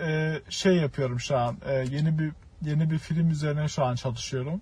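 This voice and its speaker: A man's fairly high voice, carrying ordinary pitch variation, moves at a moderate pace through noticeable background noise. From Turkey. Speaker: film student. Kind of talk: casual chat.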